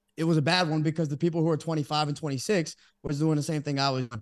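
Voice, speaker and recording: Here a man has a plain, everyday voice and an American accent. His pitch is fairly high, and the background is quiet. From Texas (Dallas), Brazilian family. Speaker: sports podcaster. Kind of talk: casual chat. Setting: studio.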